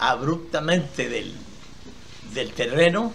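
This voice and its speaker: At a very slow pace, a man speaks with a fairly high pitch and ordinary pitch variation, with audible room echo around him. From Costa Rica, Esparza (Puntarenas). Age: 80s+. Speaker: elderly entrepreneur telling his life story. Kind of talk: interview testimony. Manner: halting, with repetitions.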